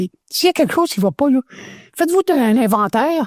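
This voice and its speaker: The recording has a dry, close sound with no echo. A man speaks at a fairly quick pace with very wide pitch swings. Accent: Quebec. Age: 70s. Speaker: former radio host. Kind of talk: interview testimony.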